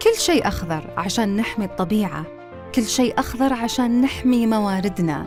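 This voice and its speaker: Lively intonation and a moderate pace mark the speech, with music playing in the background. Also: woman, fairly high pitch for a woman. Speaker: voice actor. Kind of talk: TV commercial read.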